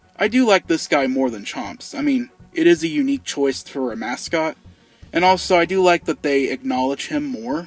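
With music in the background, a man speaks at a moderate pace in a high pitch that swings very widely. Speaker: YouTube host. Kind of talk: casual commentary to camera.

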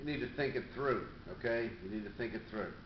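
Light noise sits in the background while a man talks amid audible room echo. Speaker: fitness coach. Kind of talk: casual vlog chat. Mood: calm, advising. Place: home room. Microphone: webcam.

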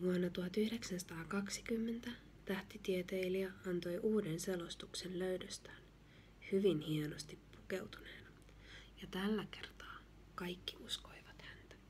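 Soft-spoken and gentle in tone, a woman talks at a fairly slow pace with a medium pitch, vocal fry and fairly even intonation. Light background noise is present. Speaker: ASMR reader. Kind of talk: gentle reading of a children's book. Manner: soft-spoken, gentle.

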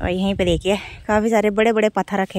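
Woman at medium pitch, speaking at a fairly quick pace.

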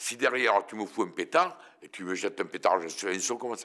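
A man's bright, sharp tone stands out against a quiet background. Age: 70s. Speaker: interviewee. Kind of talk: casual interview. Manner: animated. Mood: defiant, blunt. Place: studio.

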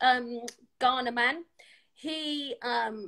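Over a quiet background, a woman's bright, sharp tone carries ordinary pitch variation. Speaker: podcast guest or host. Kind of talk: casual talk show chat. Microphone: video call.

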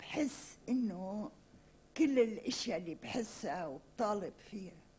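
Her medium-pitched voice moves at a very slow pace, and this woman's intonation is lively. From Lebanon. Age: 60s. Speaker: writer and journalist; journalist. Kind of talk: interview. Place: studio. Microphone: podium.

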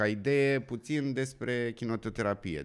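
A man talks at a very slow pace, and the background is quiet. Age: 30s. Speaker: podcast host. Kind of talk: interview. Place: studio. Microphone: studio mic.

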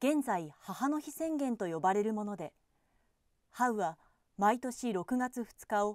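A woman's very wide pitch swings against a quiet background. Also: dry sound with no echo. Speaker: television announcer. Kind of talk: newspaper column reading. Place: booth. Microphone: studio mic.

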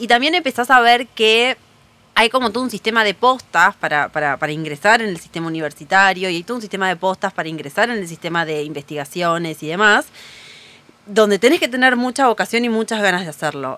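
A woman with a Rioplatense accent at medium pitch, talking at a very fast pace amid noticeable background noise. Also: lively intonation. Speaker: writer and bookseller. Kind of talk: casual interview chat.

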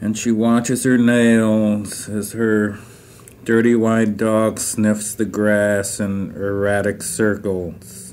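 Over noticeable background noise, a man with a fairly low pitch speaks very slowly in a monotone, flat intonation. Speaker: poet. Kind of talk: poetry reading.

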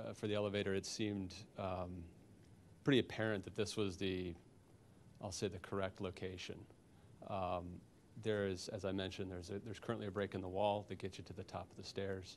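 A man talks at a fairly quick pace in a fairly low, normal speaking voice. Light background noise can be heard. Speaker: architect; witness. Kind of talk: expert witness testimony. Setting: public board hearing. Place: meeting room. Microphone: handheld.

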